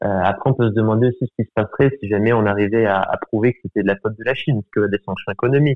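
The words come at a very fast pace with hardly any pauses. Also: man, fairly low pitch for a man, fairly even intonation. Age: 20s. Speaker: student. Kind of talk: casual interview.

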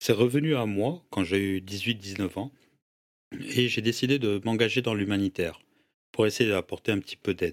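A man uses a normal speaking voice with ordinary pitch variation at a moderate pace. The recording is very clean and silent behind him, the sound dry and close with no echo. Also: fairly low pitch for a man. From Senegal (Dakar), moved to France at 14. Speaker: entrepreneur and social media influencer. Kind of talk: casual interview chat.

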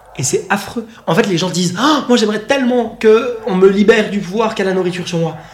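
Amid noticeable background noise and audible room echo, a man talks at a fairly quick pace in a high pitch with ordinary pitch variation. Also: hardly any pauses. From Switzerland. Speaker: eating disorder coach. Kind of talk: casual chat. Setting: in person, sitting on a sofa.

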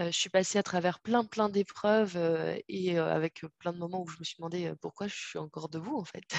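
A woman with an unremarkable speaking voice and a fairly low pitch talks at a moderate pace with hardly any pauses, fairly even intonation and big swings in loudness, the sound dry and close, with no echo. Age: 30s. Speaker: holistic coach and doula. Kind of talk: interview.

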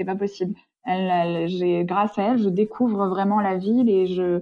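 This woman has a plain, everyday voice at medium pitch. She keeps a moderate pace and fairly even intonation. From France. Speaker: interviewee, sister of expatriate. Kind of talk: interview.

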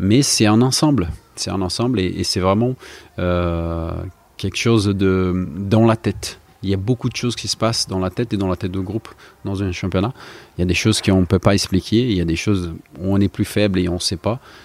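A man speaks at a fairly quick pace. His voice sits at a fairly low pitch. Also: ordinary pitch variation. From Brazil. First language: Portuguese (speaking French). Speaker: retired footballer. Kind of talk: interview. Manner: halting.

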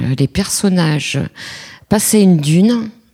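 Very slowly, a woman talks in a dark, mellow tone at a fairly low pitch, with ordinary pitch variation. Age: 50s. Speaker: listener sharing reading habits. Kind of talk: personal testimony.

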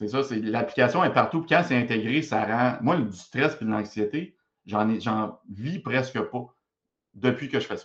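A man's medium-pitched voice, with ordinary pitch variation and a fairly slow pace. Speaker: professor and public speaker. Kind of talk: interview. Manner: animated.

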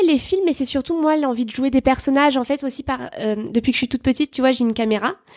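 Dry and close with no echo, a woman's high voice comes at a moderate pace with ordinary pitch variation. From France, Bordeaux. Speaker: comedian. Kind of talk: casual chat.

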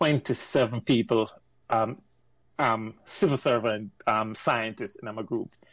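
Speaking very slowly at a medium pitch, a man with a Jamaican accent is heard on a very clean recording with a silent background. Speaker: engineer. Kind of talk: casual chat.

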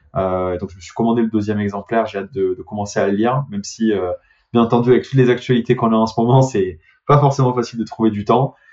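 Talking at a very fast pace with a southern French accent, a man uses fairly even intonation and a medium pitch, his loudness swinging widely. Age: 30s. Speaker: startup CEO. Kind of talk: interview. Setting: remote call.

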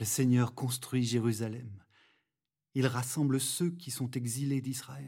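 A man speaks very slowly at a medium pitch in a dark, mellow, somewhat breathy voice with a calm tone. His intonation is fairly even, and he takes long, frequent pauses. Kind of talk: guided meditation and prayer. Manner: calm, slow, reverent.

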